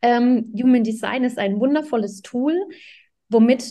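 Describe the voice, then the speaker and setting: A woman's fairly high voice at a very slow pace over a quiet background. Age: 30s. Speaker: parenting coach. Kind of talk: podcast interview.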